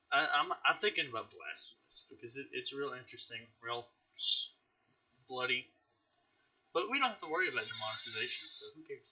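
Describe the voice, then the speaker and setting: This man speaks at a fairly quick pace. He leaves long, frequent pauses. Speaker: podcast host, gaming YouTuber. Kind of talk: casual chat.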